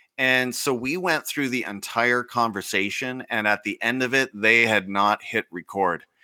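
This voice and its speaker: Speaking at a moderate pace with a western Canadian accent, a man has a bright, sharp tone in a dry, close recording with no echo. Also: medium pitch for a man, ordinary pitch variation, hardly any pauses. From Canadian prairies. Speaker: teacher and education podcast host. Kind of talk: casual interview chat.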